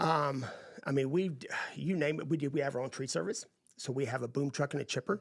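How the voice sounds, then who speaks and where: Talking at a fairly quick pace, a man with a Texan accent uses ordinary pitch variation at a fairly high pitch. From East Texas. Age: 50s. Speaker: landscaping business owner. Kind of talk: podcast interview.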